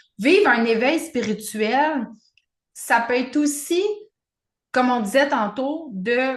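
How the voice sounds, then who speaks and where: A loud woman with a Quebec accent, high in pitch with ordinary pitch variation, at a fairly slow pace. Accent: Québécois French. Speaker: podcast co-host, spiritual coach. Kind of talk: casual chat.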